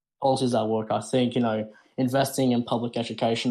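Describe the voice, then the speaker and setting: A man with an Australian accent, medium pitch, and monotone, flat intonation at a very fast pace. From Australia, Sydney. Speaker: caller. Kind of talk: call-in argument.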